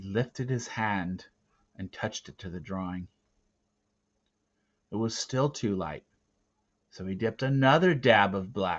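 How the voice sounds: A man talks at a fairly slow pace in a low pitch. His fairly bright tone has a slightly husky edge.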